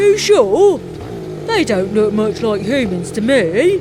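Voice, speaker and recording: A woman speaks at a fairly slow pace in a put-on character voice with fairly high pitch, over loud background noise. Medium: read story. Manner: puzzled, complaining.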